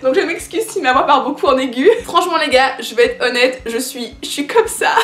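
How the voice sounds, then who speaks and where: Animated in tone, a woman with a high pitch talks at a fairly quick pace with very wide pitch swings, over noticeable background noise. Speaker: youtuber and indie game creator. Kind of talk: casual vlog announcement. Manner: animated, voice often going high-pitched.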